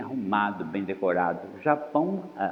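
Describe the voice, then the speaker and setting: Audible room echo is present. It surrounds a man talking. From Brazil, Espírito Santo. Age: 70s. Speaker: visual artist. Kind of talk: interview testimony.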